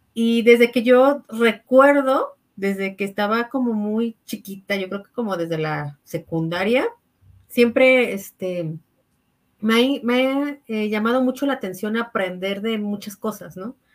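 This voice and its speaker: A woman with a Mexican accent speaks very slowly at a fairly high pitch. Her pitch varies in an ordinary way, while her loudness swings widely. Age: 30s. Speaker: architect and network marketing entrepreneur. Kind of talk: interview testimony.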